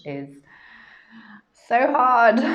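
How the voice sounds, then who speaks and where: Here a woman speaks with audible room echo. There is noticeable background noise. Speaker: yoga teacher trainer. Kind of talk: live stream talk. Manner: hesitant, many fillers.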